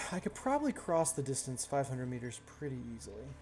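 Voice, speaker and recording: Mumbling at a fairly quick pace, a man speaks with a fairly high pitch. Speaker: gaming streamer. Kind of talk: casual chat.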